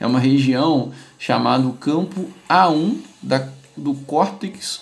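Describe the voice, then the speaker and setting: The speaker is a man. Background noise is noticeable behind his voice. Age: 30s. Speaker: neuropsychologist and podcast host. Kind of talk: casual interview and educational talk.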